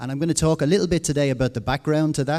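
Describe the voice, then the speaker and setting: With an Irish accent, this man speaks in a dark, mellow tone and ordinary pitch variation. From Ireland. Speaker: conference speaker on education. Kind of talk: conference presentation.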